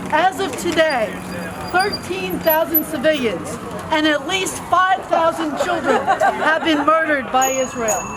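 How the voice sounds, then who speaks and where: Crowd noise in the background and audible room echo surround a woman's extremely high voice. She speaks at a fairly slow pace with lively intonation. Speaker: activist speaker at a protest rally. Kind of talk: rally speech. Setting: outdoor rally without amplification. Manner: soft-spoken.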